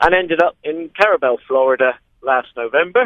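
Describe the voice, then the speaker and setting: A man speaks with a West Country accent. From West Country of England, Dorset. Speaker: long-distance kayaker. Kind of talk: radio interview.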